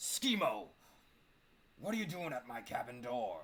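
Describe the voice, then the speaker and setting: The speaker uses a put-on character voice. Its pitch sits in the middle range. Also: moderate pace. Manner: gruff, demanding, indignant.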